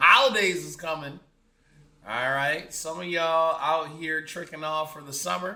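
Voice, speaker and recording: A man speaks at a moderate pace with a bright, sharp tone and a fairly high pitch. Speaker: podcast host. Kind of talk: casual monologue.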